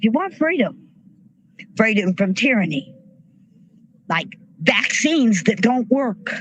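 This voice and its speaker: Her pitch swinging very widely, a woman talks at a fairly slow pace in a fairly high voice, with noticeable background noise behind her. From rural US, farm upbringing. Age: 60s. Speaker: army veteran and protest speaker. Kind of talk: rally speech. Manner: animated.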